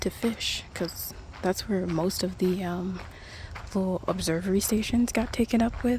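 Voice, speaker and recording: A soft-spoken woman talks at a medium pitch and moderate pace with ordinary pitch variation, over noticeable background noise. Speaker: ASMR creator. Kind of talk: casual talk to camera. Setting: outdoors.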